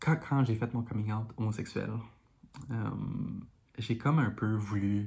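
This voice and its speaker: Soft-spoken and somewhat breathy, this woman has a very deep, low pitch, a dark, mellow tone and a Quebec accent. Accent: Québécois French. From Montreal, Quebec. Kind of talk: casual talk to camera.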